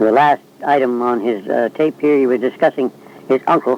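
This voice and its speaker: Noticeable background noise sits behind the speech. A man talks at medium pitch with ordinary pitch variation. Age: 70s. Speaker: oral history interviewer. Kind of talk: recorded narration. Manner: halting, many fillers.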